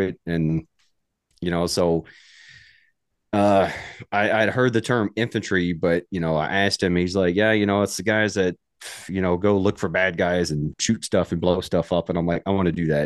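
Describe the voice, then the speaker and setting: In an American accent, a man with a very deep, low pitch talks at a moderate pace with fairly even intonation, in a dry, close sound with no echo over a quiet background. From US South, Mississippi. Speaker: army veteran and outdoor gear YouTuber. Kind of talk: casual interview chat. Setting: studio.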